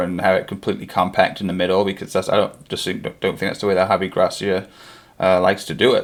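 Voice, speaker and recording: Fairly low in pitch, a man talks with an American accent and monotone, flat intonation. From England, Derbyshire. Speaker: football fan streamer. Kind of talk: live watchalong chat. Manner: casual, halting with fillers.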